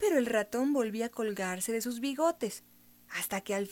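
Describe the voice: Reading aloud plainly, pitch varying in an ordinary way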